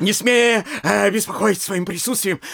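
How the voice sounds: A man puts on a character voice at a high pitch, with a fairly bright tone and vocal fry. He goes at a fairly slow pace with ordinary pitch variation.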